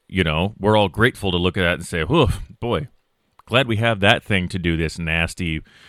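His voice sits at a very deep, low pitch, and this man uses ordinary pitch variation. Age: 30s. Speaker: podcast host. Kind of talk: solo monologue podcast. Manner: casual, with frequent fillers.

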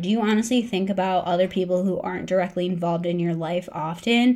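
Her voice is an unremarkable speaking voice: a woman at medium pitch, fairly quick pace and ordinary pitch variation. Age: 30s. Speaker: podcast host, dietitian. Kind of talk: solo podcast pep talk.

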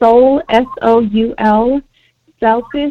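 A woman's fairly high-pitched, an ordinary speaking voice with an American accent and fairly even intonation. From US, Mexican American family. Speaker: healer and panelist. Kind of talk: panel discussion.

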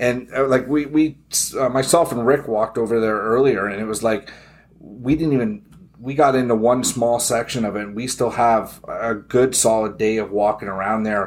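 A man with a plain, everyday voice talks at a moderate pace in a fairly even intonation. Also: medium pitch for a man. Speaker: gun rights podcast host. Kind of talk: casual chat. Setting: trade show.

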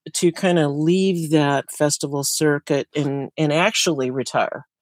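In an unremarkable speaking voice, a woman talks at a fairly slow pace with ordinary pitch variation on a very clean recording with a silent background. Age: 60s. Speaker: tiny house builder and sustainability educator. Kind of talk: interview.

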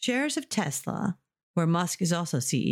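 In a very clean recording with a silent background and a dry, close sound with no echo, a woman with a fairly low pitch sounds somewhat breathy and makes very wide pitch swings. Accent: American. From United States. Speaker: English teacher. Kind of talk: language lesson with news reading; reading aloud.

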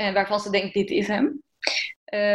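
A woman with a fairly high pitch at a moderate pace, an ordinary speaking voice. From eastern Netherlands. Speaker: fashion designer. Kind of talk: interview.

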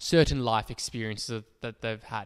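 A man at a moderate pace, his sound dry and close with no echo. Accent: Australian. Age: 20s. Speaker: podcast co-host, psychology student. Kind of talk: casual chat.

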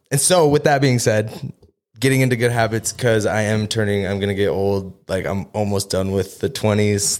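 Here a man with an unremarkable speaking voice talks at a fairly low pitch with ordinary pitch variation. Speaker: podcast co-host, marketing agency partner. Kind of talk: casual chat.

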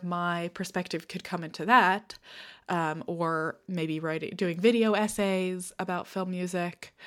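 A woman speaks at fairly low pitch and a moderate pace. Her intonation is fairly even, and the recording is very clean with a silent background. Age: 20s. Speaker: podcast host. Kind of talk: self-interview, casual conversational talk. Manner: hesitant, many fillers (um, uh).

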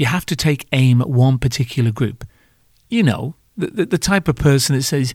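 On a very clean recording with a silent background, a man with a British accent speaks at medium pitch and a moderate pace with ordinary pitch variation. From Britain. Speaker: podcast host, former bar owner in hospitality. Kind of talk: comedic monologue podcast. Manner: animated.

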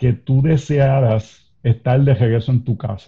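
A man talks at a very slow pace in a dark, mellow tone. His voice is somewhat breathy. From Puerto Rico. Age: 40s. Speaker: pastor. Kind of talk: interview conversation.

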